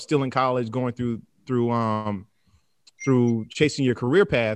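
A man speaks at a moderate pace in a medium pitch, with an unremarkable speaking voice. His intonation stays fairly even. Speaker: sideline reporter. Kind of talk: casual interview chat.

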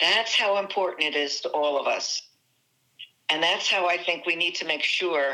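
In a New Jersey accent, a woman talks at a moderate pace with ordinary pitch variation. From New Jersey, US (Italian-American community). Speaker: success coach. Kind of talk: interview.

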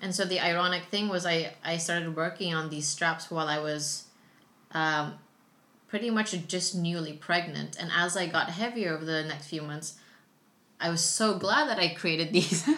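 A bright, sharp tone at a moderate pace, fairly even in intonation, with audible room echo. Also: woman, fairly low pitch for a woman. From Philippines. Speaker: yoga teacher and entrepreneur. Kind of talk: casual chat. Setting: at home with baby nearby.

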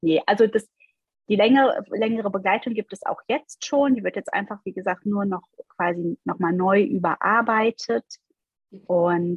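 Speaking at a moderate pace, a woman with a medium pitch sounds somewhat breathy and uses ordinary pitch variation. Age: 40s. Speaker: life coach. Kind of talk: interview.

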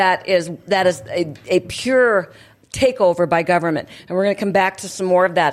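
Fairly quick and at a medium pitch, a woman talks in a normal speaking voice. Her pitch variation is ordinary. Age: 60s. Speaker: radio host. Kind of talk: casual talk show chat. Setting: studio.

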